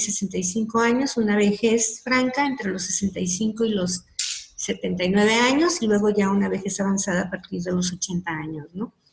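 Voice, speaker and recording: Against noticeable background noise, a woman speaks at a medium pitch and moderate pace with ordinary pitch variation. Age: 60s. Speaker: psychologist. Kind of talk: lecture. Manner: halting.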